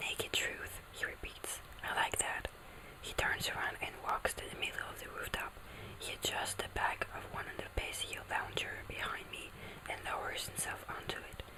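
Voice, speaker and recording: Over noticeable background noise, a woman whispers. She keeps a moderate pace. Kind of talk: ASMR book reading. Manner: whispered, soft.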